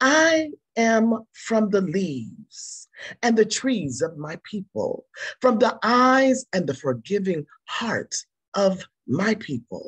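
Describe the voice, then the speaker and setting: A woman speaks very slowly at a fairly high pitch, with very wide pitch swings and vocal fry. The sound is dry and close with no echo, over a quiet background. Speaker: poet. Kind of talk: poetry reading.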